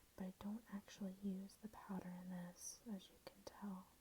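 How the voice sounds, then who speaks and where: Soft-spoken and somewhat breathy, a woman has a dark, mellow tone at a medium pitch. Her intonation is flat and monotone. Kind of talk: casual talk to camera. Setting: home, ASMR-style recording.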